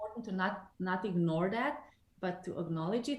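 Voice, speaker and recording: A woman talks at a fairly quick pace with ordinary pitch variation, and audible echo fills the room. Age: 40s. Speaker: numerologist. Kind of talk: interview.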